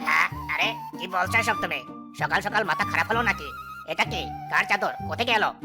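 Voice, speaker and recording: A cartoonish character voice moves at a fairly quick pace over clear background music. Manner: loud, blustering.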